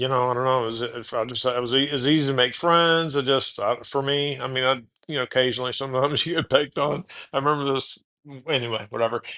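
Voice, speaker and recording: Talking at a very fast pace with an American accent, a man has a bright, sharp tone, medium pitch and fairly even intonation. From Texas (Houston, Austin). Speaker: podcast host. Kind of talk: casual chat. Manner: halting, many false starts.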